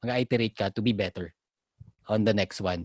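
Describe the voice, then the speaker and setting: Dry and close with no echo, a man's dark, mellow voice moves at a fairly quick pace and medium pitch. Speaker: podcast co-host discussing IT project management. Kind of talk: casual chat.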